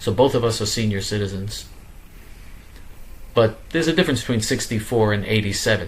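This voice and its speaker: Somewhat breathy and fairly low-pitched, a man talks at a fairly quick pace with ordinary pitch variation and long, frequent pauses. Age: 60s. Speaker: political activist show host. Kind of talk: monologue.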